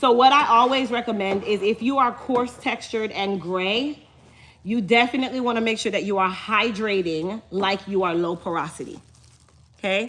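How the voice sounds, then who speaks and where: Speaking at a moderate pace, a woman sounds animated, with a fairly high pitch and ordinary pitch variation. She has a slight Jamaican accent. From Chicago, Jamaican family. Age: 30s. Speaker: hair care business owner. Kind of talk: live stream chat with viewers.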